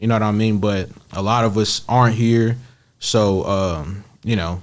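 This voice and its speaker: A man with an American accent talks at a fairly slow pace in a fairly low pitch, with fairly even intonation and an unremarkable speaking voice. The recording is very clean, with a silent background. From Kansas City, Missouri. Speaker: rapper. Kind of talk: interview.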